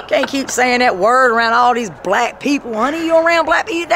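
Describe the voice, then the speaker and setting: A woman's animated, fairly quick speech over light background noise. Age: 40s. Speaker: street interviewee recounting drug relapse; interviewee. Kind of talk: street interview. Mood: angry, venting. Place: street. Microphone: phone near.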